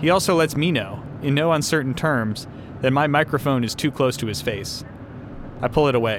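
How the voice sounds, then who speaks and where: A man with a normal speaking voice talks at a fairly quick pace. His pitch is fairly high with ordinary variation. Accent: American. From Texas. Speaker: podcast host and reporter. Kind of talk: narrated documentary reporting.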